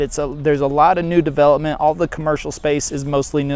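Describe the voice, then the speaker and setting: A man with a Texas accent, fairly high-pitched for a man, at a fairly quick pace. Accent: country Texas. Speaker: real estate agent and vlogger. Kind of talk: walking tour vlog. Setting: outdoors. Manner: casual, rambling with fillers.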